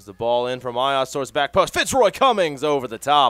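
The room adds no reverberation, and the audio sounds close and dry. It is a man's voice. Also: very clean recording, silent background. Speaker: sports commentator. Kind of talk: live sports commentary. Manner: fast, excitable play-by-play, rising on goals; animated, laughing, delighted.

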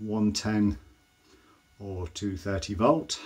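A man with a fairly low-pitched voice. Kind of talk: casual product demonstration. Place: bathroom. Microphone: phone near.

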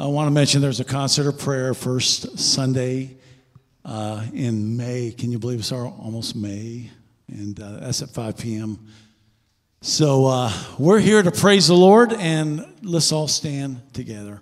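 A man speaks at a fairly slow pace with lively intonation. His loudness swings widely against a quiet background. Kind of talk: church announcements. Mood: warm, light-hearted. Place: church. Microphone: handheld.

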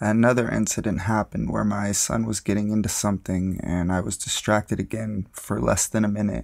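A man with an ordinary speaking voice and a fairly low pitch talks at a moderate pace in a very clean recording with a silent background. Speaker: narrator of true scary stories.

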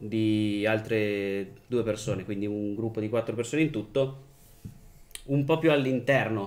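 Fairly slow pace from a man, pitch varying in an ordinary way. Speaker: game master and podcast host; podcast host. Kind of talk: tabletop role-playing game session. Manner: playful. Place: home room.

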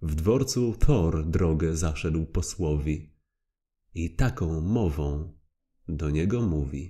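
Very slowly and in a dramatic tone, a man speaks with a dark, mellow, somewhat breathy voice and lively intonation. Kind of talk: poem narration; audiobook reading aloud. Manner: rhythmic, measured, dramatic; formal, solemn storytelling.

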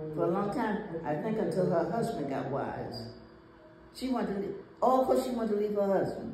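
Over light background noise with audible room echo, a woman speaks at a moderate pace with very wide pitch swings and long, frequent pauses. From US South. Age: 90s. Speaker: grandmother. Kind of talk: casual chat. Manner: halting. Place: home room. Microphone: phone near.

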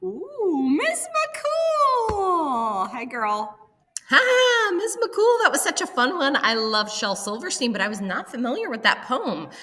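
A woman's raised, projected voice in an American accent, high-pitched with very wide pitch swings and a playful, upbeat tone, at a fairly slow pace over light background noise. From US. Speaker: school announcer. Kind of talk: school morning announcements. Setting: school PA system. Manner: playful, upbeat, teacherly. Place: office. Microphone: webcam.

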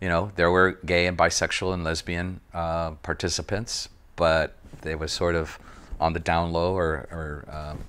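Speaking with an American accent, a man has a very deep, low pitch. He goes at a fairly slow pace with monotone, flat intonation. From East Los Angeles. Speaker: artist. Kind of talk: interview answer. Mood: reflective, thoughtful. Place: home room.

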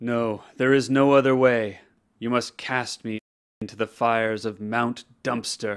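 A man talks at a moderate pace in a put-on character voice. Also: medium pitch for a man. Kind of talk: mock-epic solemn pronouncement. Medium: short film. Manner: grave, ceremonious, deadpan.

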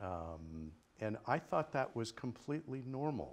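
Very slow speech from a man. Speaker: speaker. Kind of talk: personal story in a talk.

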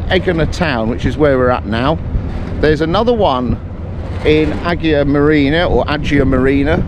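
A man speaks at a moderate pace. The sound is dry with no echo, and background noise is noticeable. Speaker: travel vlogger. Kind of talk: casual vlog chat. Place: waterside. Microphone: phone near.

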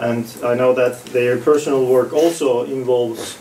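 A man speaks at a fairly slow pace in a flat, monotone delivery. Some room echo is audible, and there is light background noise. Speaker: event host moderator. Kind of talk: introduction of panel guests. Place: meeting room. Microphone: camera far.

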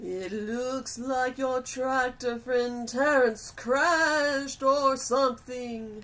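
A woman uses a put-on character voice with a high pitch. She speaks very slowly, with hardly any pauses. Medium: dub.

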